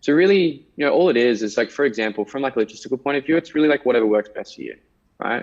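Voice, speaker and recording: This man talks very fast at a medium pitch. His intonation is lively. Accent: Australian. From Tasmania, Australia. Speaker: salesperson. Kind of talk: sales call.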